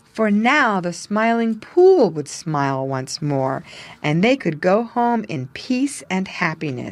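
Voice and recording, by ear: The passage comes through as reading aloud in a natural voice.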